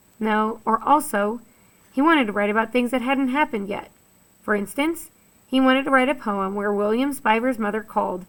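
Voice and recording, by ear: With ordinary pitch variation, a natural voice reads a passage aloud.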